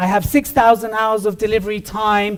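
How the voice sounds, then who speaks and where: A man speaks at a high pitch. His tone is energetic. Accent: British. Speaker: business consultant and public speaker. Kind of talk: keynote speech. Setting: stage with audience. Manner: fast.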